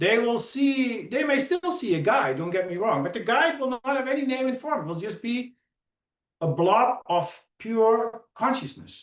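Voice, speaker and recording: The man's pitch is extremely high. He talks at a moderate pace with very wide pitch swings. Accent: Dutch. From Netherlands. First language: Dutch. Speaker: hypnotherapist. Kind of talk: conference talk.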